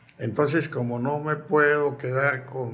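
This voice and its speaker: A man's voice carries audible room echo. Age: 80s+. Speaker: retired football club president and urologist. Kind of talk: interview. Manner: reflective.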